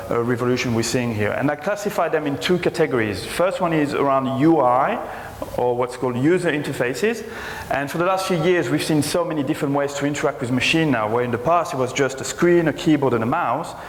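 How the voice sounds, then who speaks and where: A man speaking very fast at a fairly high pitch, ordinary pitch variation, noticeable background noise and audible room echo. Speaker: conference speaker, technology executive. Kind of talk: conference presentation.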